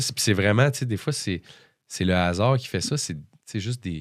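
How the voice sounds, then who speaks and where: In a Quebec accent, the speaker moves at a moderate pace with lively intonation on a very clean recording with a silent background. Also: man. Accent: Québécois French. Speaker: musician. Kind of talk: casual interview chat. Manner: hesitant, many fillers.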